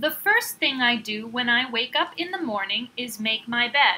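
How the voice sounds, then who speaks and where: An American accent at a fairly slow pace, with ordinary pitch variation. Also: woman. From California. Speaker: English teacher. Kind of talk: language lesson phrase reading. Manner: slow, clear.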